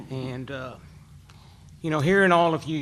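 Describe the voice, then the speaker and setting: Audible room echo surrounds a man speaking at a fairly slow pace with a fairly high pitch and ordinary pitch variation. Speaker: coach, hall of fame inductee. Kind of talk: acceptance speech at press conference. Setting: press conference in hotel. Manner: casual.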